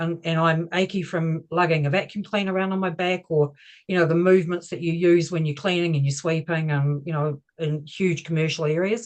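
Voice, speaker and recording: A woman with a New Zealand accent, fairly low pitch, fairly even intonation and a fairly quick pace. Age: 60s. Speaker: operations manager. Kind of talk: testimony.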